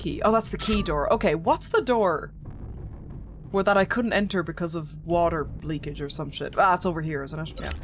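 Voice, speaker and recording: In an Irish accent, a woman speaks at a moderate pace. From Ireland. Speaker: gaming streamer. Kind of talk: live gameplay commentary.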